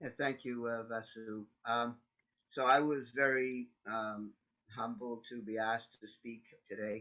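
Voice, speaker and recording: A man with a Canadian accent speaks at a fairly slow pace in a medium pitch, his intonation monotone and flat while his loudness swings widely. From Canada. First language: Yiddish. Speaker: interfaith panel speaker, layperson. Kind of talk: personal testimony talk. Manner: halting, many fillers.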